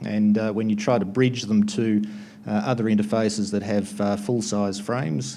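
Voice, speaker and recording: A man at a fairly low pitch with an Australian accent, fairly even intonation and a moderate pace, plus audible room echo. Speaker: conference presenter, network equipment distributor. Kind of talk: conference talk. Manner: hesitant, many filler words.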